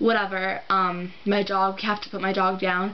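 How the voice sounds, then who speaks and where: A woman talks at a medium pitch. Room echo is audible around her. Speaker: vlogger. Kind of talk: casual vlog monologue. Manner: halting.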